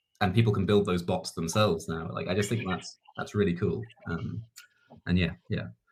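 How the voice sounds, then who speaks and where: A man with a very deep, low pitch at a moderate pace. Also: ordinary pitch variation. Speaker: startup community lead. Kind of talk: panel Q&A. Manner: hesitant, filler-heavy.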